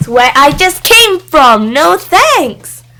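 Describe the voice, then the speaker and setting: Putting on a character voice, a woman speaks at a very slow pace and a high pitch with very wide pitch swings. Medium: read story. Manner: grumbling, childish.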